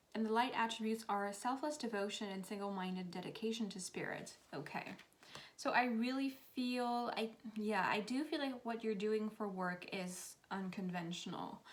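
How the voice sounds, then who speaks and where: Her speech carries a non-native accent. The woman keeps a moderate pace. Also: fairly high pitch for a woman, ordinary pitch variation. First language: not English. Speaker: tarot reader. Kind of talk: tarot reading monologue.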